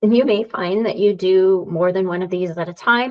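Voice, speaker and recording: At a moderate pace and medium pitch, a woman uses a normal speaking voice with fairly even intonation. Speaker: yoga teacher and therapist. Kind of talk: lecture.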